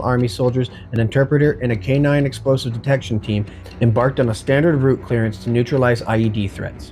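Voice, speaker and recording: A man speaks very fast while music plays in the background. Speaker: former army reservist. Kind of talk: documentary narration.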